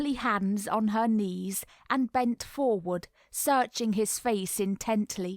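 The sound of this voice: An unforced reading voice carries ordinary variation in pitch.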